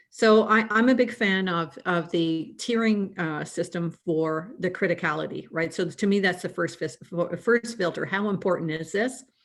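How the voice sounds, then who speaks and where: A woman with a normal speaking voice talks at a medium pitch, with ordinary pitch variation. She leaves hardly any pauses. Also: moderate pace. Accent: Canadian. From Canada. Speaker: risk management consultant. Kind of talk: panel discussion.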